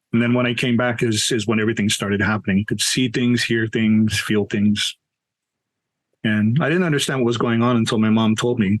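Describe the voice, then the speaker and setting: With a Hawaiian accent, the voice moves at a fairly quick pace with fairly even intonation and very even loudness. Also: man, medium pitch for a man. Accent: Hawaiian local English. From Hawaii, Waianae, Oahu. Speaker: storyteller and tour business owner. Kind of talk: interview Q&A on video call. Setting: video call. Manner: conversational, hesitant fillers.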